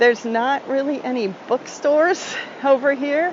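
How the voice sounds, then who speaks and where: Woman speaking at a fairly slow pace with ordinary pitch variation, over noticeable background noise. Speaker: travel podcast host. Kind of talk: live travel recording, casual tips. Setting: on location on a tropical island. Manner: relaxed.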